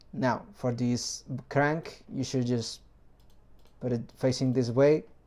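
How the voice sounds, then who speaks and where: Very slowly, a man speaks at a medium pitch in a dark, mellow tone. The recording is very clean, with a silent background. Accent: non-native. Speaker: 3D printing hobbyist, video maker. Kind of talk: tutorial.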